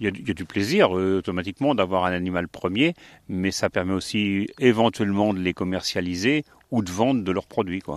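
On a very clean recording with a silent background and a dry, close sound with no echo, a man speaks at a very deep, low pitch and a fairly quick pace, with ordinary pitch variation. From France, Sarthe. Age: 60s. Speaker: retired sheep farmer. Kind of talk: interview. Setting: on a farm.

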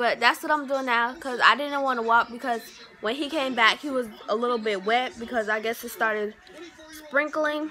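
A woman's high-pitched voice at a moderate pace, fairly even in intonation, over light background noise. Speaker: vlogger. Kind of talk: casual vlog. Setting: restaurant. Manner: speaking quietly. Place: home room. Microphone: phone near.

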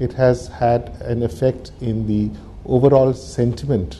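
Light background noise behind a man's voice with ordinary pitch variation. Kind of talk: interview answer. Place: office.

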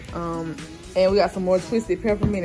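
A woman talks with fairly even intonation. Music plays clearly in the background. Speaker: vlogger mother. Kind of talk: casual vlog chat. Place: kitchen. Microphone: phone near.

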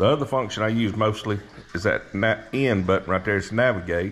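Fairly low in pitch, a man talks at a moderate pace with ordinary pitch variation. Light background noise sits underneath. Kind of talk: casual vlog chat. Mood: relaxed, enthusiastic. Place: garage. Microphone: phone near.

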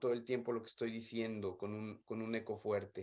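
The speaker has a Mexican accent. The background is quiet. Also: man. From Mexico. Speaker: development specialist; remote presenter. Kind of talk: conference talk. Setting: video call. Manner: halting. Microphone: earbuds.

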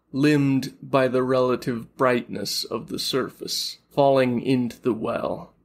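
This is a natural reading voice. It holds that way throughout.

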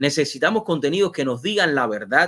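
A man's fairly high voice at a moderate pace, lively in intonation, against a quiet background. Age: 40s. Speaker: TV and online show host; online show host. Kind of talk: live interview show. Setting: studio. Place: home room.

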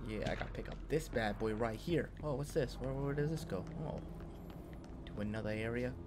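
A man's fairly quick speech comes through over noticeable background noise. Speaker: game streamer. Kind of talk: gameplay commentary.

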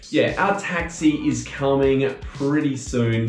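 A man speaks over faint background music, with audible echo in the room. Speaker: travel vlogger. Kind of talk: casual vlog chat. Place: home room. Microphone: camera far.

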